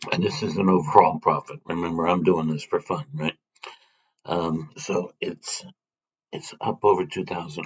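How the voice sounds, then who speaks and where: Quiet and raspy, a man puts on a character voice with a very deep, low pitch at a moderate pace. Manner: low, quiet speaking voice.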